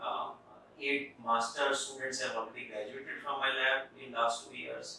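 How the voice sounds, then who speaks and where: A man talks at a moderate pace in a flat monotone, his loudness swinging widely, with strong room echo and light background noise. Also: medium pitch for a man. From India. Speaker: professor. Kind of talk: interview. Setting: office. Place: office.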